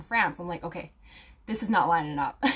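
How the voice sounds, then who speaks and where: A woman's ordinary speaking voice at a fairly quick pace, with lively intonation. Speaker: aromatherapy student and video creator. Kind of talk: casual talk to viewers, live stream with comments. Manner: casual, many fillers.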